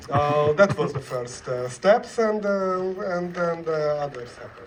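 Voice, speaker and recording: Against noticeable background noise and audible room echo, a man with a fairly high pitch speaks at a fairly slow pace, with lively intonation and big swings in loudness. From Hungary. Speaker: film director. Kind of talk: festival Q&A. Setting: stage with audience. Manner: halting.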